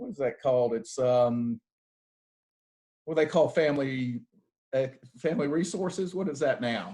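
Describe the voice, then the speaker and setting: Speaking at a moderate pace in a Southern US accent, a man with a fairly high pitch uses lively intonation and long, frequent pauses. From US South, Athens, Georgia. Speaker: bank executive. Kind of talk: fireside chat. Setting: video call from home. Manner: halting, repeats words.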